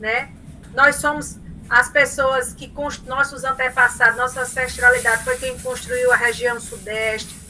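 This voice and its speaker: A high-pitched woman's voice with a strong Paraíba accent, a fairly slow pace, big swings in loudness and noticeable background noise. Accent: Paraíba northeastern Brazilian accent, strong. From Paraíba, northeastern Brazil. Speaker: professor. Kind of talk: lecture. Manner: animated.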